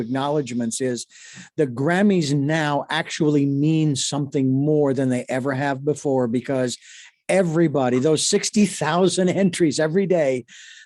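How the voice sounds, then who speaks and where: This is a man with an ordinary speaking voice and a fairly high pitch. The background is quiet. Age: 60s. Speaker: radio co-host and producer. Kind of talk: casual chat.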